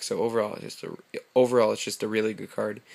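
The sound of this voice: A put-on character voice comes out raspy and mumbling at a very fast pace. Its loudness swings widely. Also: man, medium pitch for a man.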